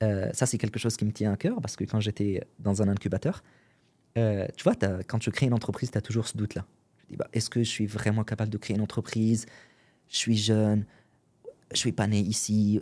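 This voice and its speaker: A man with a dark, mellow tone and fairly low pitch speaks at a fairly quick pace with fairly even intonation and big swings in loudness, in a very clean recording with a silent background. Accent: Arabic. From Syria. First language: Arabic (speaking French). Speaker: entrepreneur and podcaster. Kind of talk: podcast interview. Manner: casual, hesitant with fillers.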